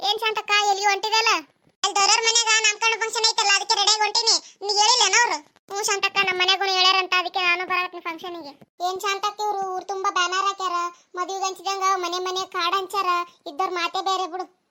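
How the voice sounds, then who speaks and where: A woman does a cartoonish character voice at an extremely high pitch. Her intonation is monotone and flat, and her pace fairly quick. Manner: chatty, complaining.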